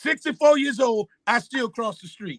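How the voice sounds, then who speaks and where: A man projects his raised voice at an extremely high pitch, bright and sharp in tone and animated, at a moderate pace, with a dry, close sound and no echo. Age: 60s. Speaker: pastor. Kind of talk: panel discussion.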